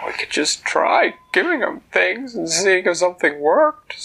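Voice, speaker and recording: A man performs a put-on character voice, pitched high. He keeps a moderate pace. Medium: read story. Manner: sad, mopey.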